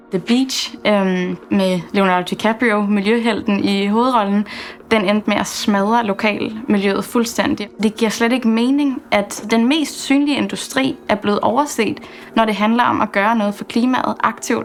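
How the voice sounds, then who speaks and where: A woman at a fairly high pitch and fairly slow pace, ordinary pitch variation, with noticeable background noise. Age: 20s. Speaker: entrepreneur. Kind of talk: documentary interview.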